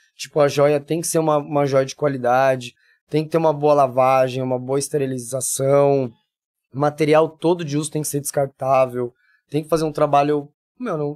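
Monotone, flat intonation at a moderate pace on a very clean recording with a silent background. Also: man, fairly high pitch for a man. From São Paulo city, Brazil. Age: 40s. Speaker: body piercer and body modifier. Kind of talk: casual interview chat.

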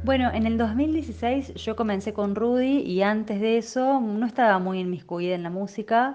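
Here is a woman with a fairly high pitch. It is a normal speaking voice. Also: ordinary pitch variation, moderate pace. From Córdoba, Argentina. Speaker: singer-songwriter. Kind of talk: interview testimony.

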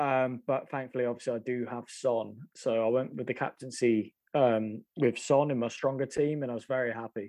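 A man with a normal speaking voice at medium pitch, moderate pace and fairly even intonation. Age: 30s. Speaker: fantasy football podcast co-host. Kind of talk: casual chat.

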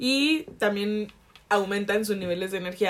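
Speaking at a fairly slow pace, a woman with a Jalisco accent uses a medium pitch. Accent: Jalisco Mexican Spanish. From Mexico, Jalisco. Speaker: podcast co-host. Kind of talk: casual chat.

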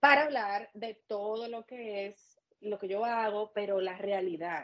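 In a normal speaking voice, a woman talks at a fairly slow pace with fairly even intonation. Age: 30s. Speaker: makeup artist and beauty studio owner. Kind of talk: interview.

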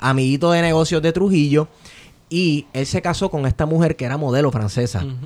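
Speaking at a fairly quick pace, a man has an unremarkable speaking voice with ordinary pitch variation. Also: fairly high pitch for a man. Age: 30s. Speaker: podcast host. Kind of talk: casual chat.

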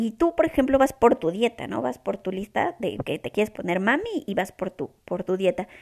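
A woman's voice with vocal fry, very wide pitch swings and hardly any pauses. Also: medium pitch for a woman, moderate pace. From Mexico. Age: 20s. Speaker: podcast host. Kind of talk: casual chat. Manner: serious, hesitant.

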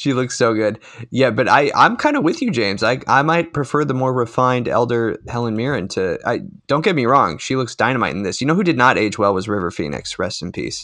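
Bright and sharp in tone, a man with a medium pitch talks at a fairly quick pace with lively intonation. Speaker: podcast co-host. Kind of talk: casual chat.

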